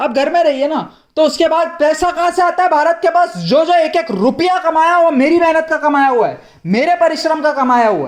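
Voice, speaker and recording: This man speaks at an extremely high pitch with ordinary pitch variation. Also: moderate pace. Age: 70s. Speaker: retired community activist. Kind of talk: vlog monologue. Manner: animated, rambling code-switching.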